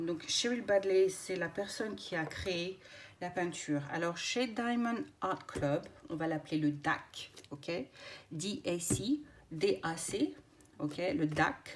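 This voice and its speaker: A woman with a fairly low voice speaks very slowly, her intonation lively. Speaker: craft YouTuber. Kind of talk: unboxing video. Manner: hesitant, many filler words.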